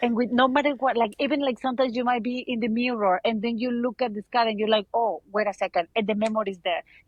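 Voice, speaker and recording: A woman speaks at a very fast pace with a Mexican accent. Her pitch is fairly high. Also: fairly even intonation. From Mexico. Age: 30s. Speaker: abuse survivor. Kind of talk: casual interview.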